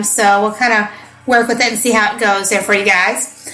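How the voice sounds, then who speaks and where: A woman with an American accent at a moderate pace, with audible room echo and music in the background. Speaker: podcast host, parenting coach. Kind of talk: casual podcast monologue.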